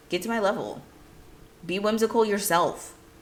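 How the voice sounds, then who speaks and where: A woman sounds animated and bubbly, with ordinary pitch variation and audible room echo. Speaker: play coach and video creator. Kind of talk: casual talk to camera. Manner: loud and bubbly.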